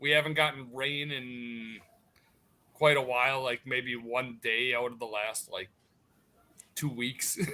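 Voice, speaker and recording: This man has a strong Wisconsin accent and a bright, sharp tone. He speaks at a fairly slow pace with big swings in loudness. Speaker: military veteran, podcast co-host. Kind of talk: casual chat.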